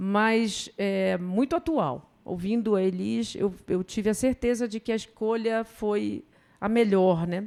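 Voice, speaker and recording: The recording is very clean, with a silent background. A woman in a northern Brazilian accent speaks at medium pitch and a very slow pace, with ordinary pitch variation. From northern Brazil, Belém do Pará. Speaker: professor, public health. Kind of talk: conference talk. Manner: seated.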